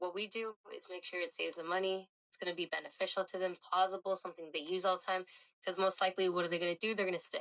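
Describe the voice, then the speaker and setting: Very fast and monotone with flat intonation, a woman speaks at a medium pitch, her loudness swinging widely. The sound is dry and close with no echo. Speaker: job recruiter. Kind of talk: job interview sales pitch.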